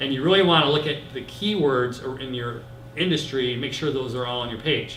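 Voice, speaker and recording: Recorded with noticeable background noise and audible room echo, a man speaks with an American accent. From Michigan, US Midwest. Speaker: internet marketing consultant. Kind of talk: presentation to small group. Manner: fast.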